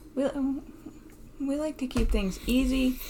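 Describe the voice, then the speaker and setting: A woman at a moderate pace, with vocal fry. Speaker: podcast host. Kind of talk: casual chat.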